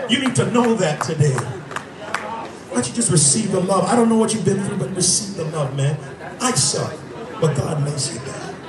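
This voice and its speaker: A man speaks at a moderate pace in a high voice. His pitch swings very widely over noticeable background noise. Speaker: street preacher. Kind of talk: street preaching, confrontational exchange with a heckler. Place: street.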